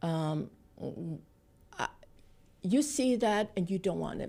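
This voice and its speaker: With a Vietnamese accent, a woman talks at a fairly slow pace in a fairly low pitch, her dark, mellow tone carrying lively intonation and vocal fry. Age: 60s. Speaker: political activist, refugee. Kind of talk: interview.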